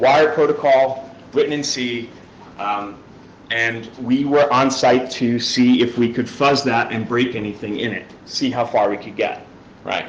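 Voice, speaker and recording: A man with an American accent at a medium pitch, with audible room echo and noticeable background noise. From New York. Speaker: security researcher, conference speaker. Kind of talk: conference talk. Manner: fast.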